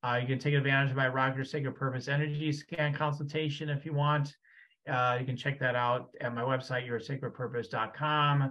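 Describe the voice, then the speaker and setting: A man with a fairly high pitch talks at a fairly quick pace against a quiet background. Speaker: podcast host. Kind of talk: interview conversation. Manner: enthusiastic. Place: home room. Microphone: studio mic.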